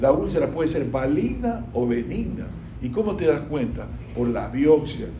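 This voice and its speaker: Noticeable background noise and audible room echo accompany a man talking at a moderate pace. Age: 60s. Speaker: doctor teaching medicine. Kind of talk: lecture. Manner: conversational, frequent tag questions.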